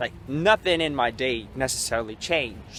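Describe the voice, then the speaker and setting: Speaking at a fairly slow pace in a Russian accent, a man has a bright, sharp tone and ordinary pitch variation. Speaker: vlogger. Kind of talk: walking vlog monologue. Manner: halting.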